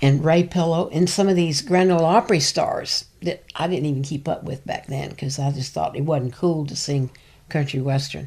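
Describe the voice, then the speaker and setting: A woman with a Tennessee accent speaks at a very deep, low pitch, with ordinary pitch variation. Her voice is somewhat breathy, with a dark, mellow tone. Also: moderate pace. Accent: Southern US (Tennessee). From East Tennessee. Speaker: backup singer and voice teacher. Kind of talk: interview.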